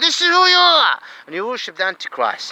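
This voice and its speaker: In a Saudi accent, a raised, projected voice talks at a fairly quick pace with very wide pitch swings, in a dry, close sound with no echo over noticeable background noise. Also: man. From Saudi Arabia. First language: Arabic. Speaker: asylum seeker vlogger. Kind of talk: angry monologue. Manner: halting, repetitive.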